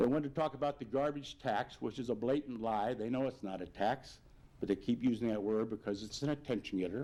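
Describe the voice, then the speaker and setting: A man's very fast delivery, medium in pitch, dark and mellow in tone, with ordinary pitch variation. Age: 70s. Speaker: mayor. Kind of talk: public address. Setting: video broadcast.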